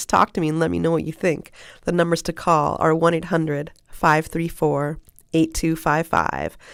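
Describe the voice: In a put-on character voice that is hoarse and raspy, a woman speaks at a moderate pace in a fairly low pitch with monotone, flat intonation, on a very clean recording with a silent background.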